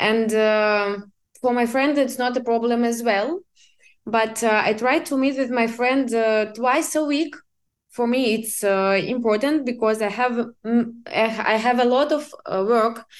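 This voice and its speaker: Fairly slow delivery in a Russian accent, with ordinary pitch variation and very even loudness. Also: woman, fairly high pitch for a woman. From Siberia, Russia. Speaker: business assistant. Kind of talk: interview. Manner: halting.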